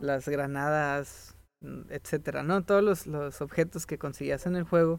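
A man with a fairly high pitch, fairly even intonation and a Mexican accent. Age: 20s. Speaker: podcast co-host. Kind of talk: casual chat. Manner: halting.

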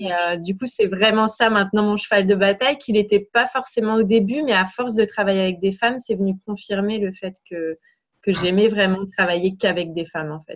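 A woman speaks in an unremarkable speaking voice at medium pitch, with ordinary pitch variation and a moderate pace. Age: 30s. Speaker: business coach. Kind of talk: interview.

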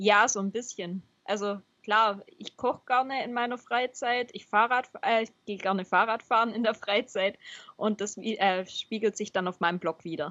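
With an unremarkable speaking voice, a woman talks at a moderate pace in a fairly high pitch and fairly even intonation. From Baden-Württemberg, Swabia. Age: 20s. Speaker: software developer and cycling blogger. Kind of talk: podcast interview.

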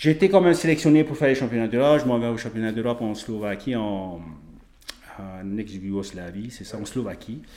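With a plain, everyday voice, a man talks at medium pitch and a fairly quick pace, using lively intonation. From French Polynesia. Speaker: strength athlete and naturopath. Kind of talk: casual interview.

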